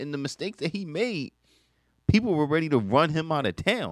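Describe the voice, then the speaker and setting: Recorded very cleanly against a silent background, a man speaks at a moderate pace in a dry, close sound with no echo. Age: 20s. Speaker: radio sports co-host. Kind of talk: radio sports talk, casual banter. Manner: relaxed, agreeable, laughing, echoing co-host.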